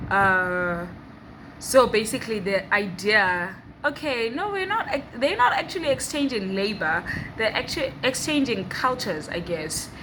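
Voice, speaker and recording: Her pitch sits fairly high for a woman, with lively intonation. Noticeable background noise runs behind this woman's voice. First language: Xhosa. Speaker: vlogger. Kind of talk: casual vlog talk. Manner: hesitant, many fillers and restarts.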